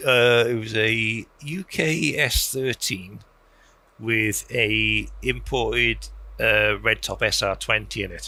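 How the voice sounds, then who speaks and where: A man with a South Wales Valleys accent speaks in a very clean recording with a silent background. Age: 40s. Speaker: car enthusiast. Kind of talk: casual chat.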